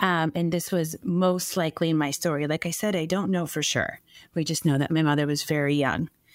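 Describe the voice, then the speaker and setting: Fairly low in pitch, a woman with a plain, everyday voice speaks at a fairly quick pace with fairly even intonation and very even loudness in a very clean recording with a silent background. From US, raised by Norwegian-American parents; born in Colombia. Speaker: stay-at-home mom and adoptee. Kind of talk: casual interview.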